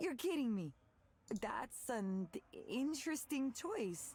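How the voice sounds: A woman puts on a character voice, high-pitched with big pitch swings and a slightly mellow tone. She speaks at a slow pace.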